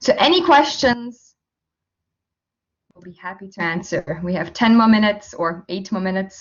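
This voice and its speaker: Breathing a little audibly, a woman speaks at medium pitch and a moderate pace, with lively intonation, big swings in loudness and long, frequent pauses. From Austria. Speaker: language teacher. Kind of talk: online information session. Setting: video call.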